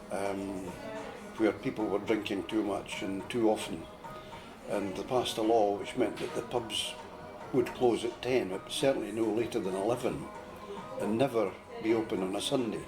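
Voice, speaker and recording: A man speaks at a moderate pace in a fairly low pitch with fairly even intonation, leaving long, frequent pauses while music plays in the background. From Fife, Scotland. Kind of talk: casual conversation.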